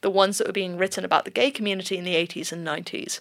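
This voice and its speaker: This is a woman with a southern English accent and a medium pitch. The recording is very clean, with a silent background. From southern England. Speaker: gender researcher. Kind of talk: interview.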